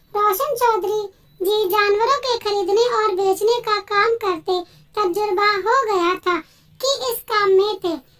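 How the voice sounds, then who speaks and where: In a squeaky, put-on character voice, the speaker talks at a moderate pace with fairly even intonation. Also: woman, extremely high pitch for a woman. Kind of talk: emotional Hindi moral-story narration. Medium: read story. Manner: earnest, dramatic storytelling.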